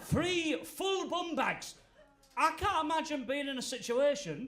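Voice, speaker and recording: A northern English accent with audible room echo. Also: man. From Yorkshire, northern England (Goole). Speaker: stand-up comedian. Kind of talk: stand-up. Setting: stage with audience.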